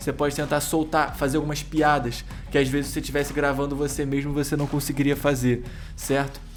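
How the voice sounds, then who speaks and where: A man speaks in a Brazilian accent at a fairly quick pace. Music sits in the background. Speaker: YouTube course creator. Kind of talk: tutorial. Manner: fast; energetic.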